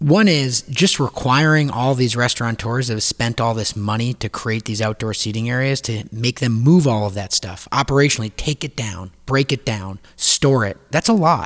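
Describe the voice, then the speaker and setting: A man with an unremarkable speaking voice talks at a moderate pace with medium pitch, ordinary pitch variation and hardly any pauses. The recording is very clean, with a silent background and a dry, close sound with no echo. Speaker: restaurant industry team member. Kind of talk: casual discussion. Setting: makeshift studio.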